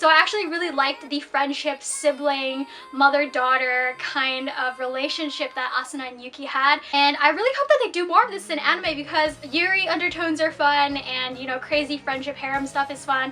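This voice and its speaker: A woman's raised, projected, high voice at a fairly quick pace, with hardly any pauses, big swings in loudness and noticeable background noise. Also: ordinary pitch variation. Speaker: anime vlogger. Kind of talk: casual vlog review. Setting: small room at relative's home. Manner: fast.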